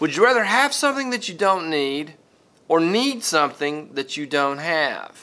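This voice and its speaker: A man speaks in a high voice with a bright, sharp tone. His pitch swings very widely. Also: moderate pace. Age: 50s. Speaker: video blogger. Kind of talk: casual monologue to camera. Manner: halting, repeats words. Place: classroom. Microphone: phone near.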